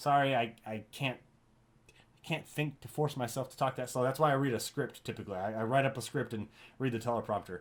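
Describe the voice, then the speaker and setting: Recorded very cleanly against a silent background, a man at a medium pitch speaks at a fairly quick pace with fairly even intonation. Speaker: gaming YouTuber. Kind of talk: casual unscripted talk to viewers. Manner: fast.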